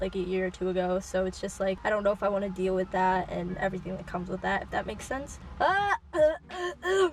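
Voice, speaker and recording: A woman's very fast delivery is heard over noticeable background noise. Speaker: youtuber. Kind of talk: casual chat. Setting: outdoors.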